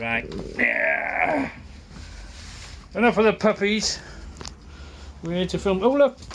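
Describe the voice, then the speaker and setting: Over noticeable background noise, the speech moves at a very slow pace with long, frequent pauses and very wide pitch swings. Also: man, high pitch for a man. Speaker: camera operator in a motorbike workshop. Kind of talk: casual chat. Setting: workshop. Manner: loud.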